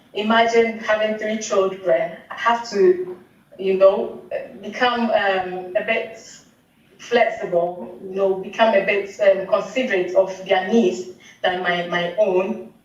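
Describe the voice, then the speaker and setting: A woman speaks at a very slow pace through noticeable background noise and audible room echo. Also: medium pitch for a woman, ordinary pitch variation. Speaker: mother sharing pregnancy experience. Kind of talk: casual chat.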